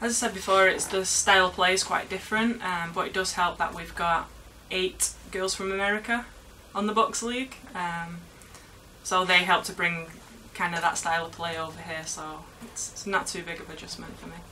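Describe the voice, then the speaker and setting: Speaking in a Manchester accent at a moderate pace, a woman keeps a medium pitch and fairly even intonation while her loudness swings widely. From England, Manchester. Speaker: university footballer. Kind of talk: interview.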